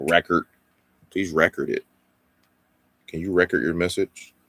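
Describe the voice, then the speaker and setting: Putting on a robotic character voice, a man speaks at a moderate pace with a very deep, low pitch. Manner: robotic, flat, stiff, mechanical.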